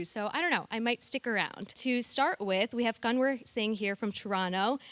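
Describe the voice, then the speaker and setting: Using an ordinary speaking voice, a woman with an American accent talks at a fairly slow pace, her pitch fairly high and her intonation lively. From United States. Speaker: panel moderator. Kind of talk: panel discussion moderation. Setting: theatre stage with audience.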